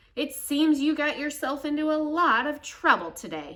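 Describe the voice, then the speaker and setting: A woman puts on a character voice with a high pitch. She talks at a moderate pace. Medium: read story. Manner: warm, reassuring.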